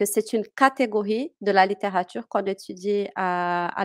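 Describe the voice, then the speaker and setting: A woman speaks at a fairly slow pace and a medium pitch, with ordinary pitch variation. The sound is dry and close, with no echo. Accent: Portuguese. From Brazil, Minas Gerais. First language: Portuguese (speaking French). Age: 30s. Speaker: French teacher. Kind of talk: interview. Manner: hesitant, many fillers.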